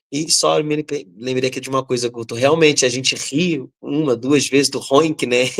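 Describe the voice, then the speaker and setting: A man in a Rio de Janeiro accent, fairly even in intonation, with a dry, close sound and no echo. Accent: carioca. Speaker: writer. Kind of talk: panel discussion. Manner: halting; talkative.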